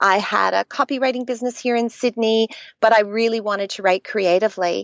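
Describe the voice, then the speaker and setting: A woman talks at a fairly quick pace. Her fairly high voice keeps a fairly even intonation. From Canada. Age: middle-aged. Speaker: children's author. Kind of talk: podcast interview.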